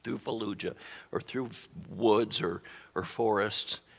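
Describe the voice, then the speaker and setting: In a very clean recording with a silent background, a man with vocal fry speaks at medium pitch and a moderate pace with ordinary pitch variation. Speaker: pastor. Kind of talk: sermon.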